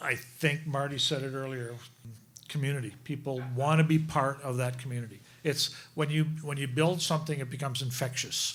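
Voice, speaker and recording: Audible room echo surrounds a man with a fairly high pitch. He speaks at a fairly quick pace with monotone, flat intonation. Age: 60s. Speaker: folk club organizer. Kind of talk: live panel interview. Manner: halting, repetitive.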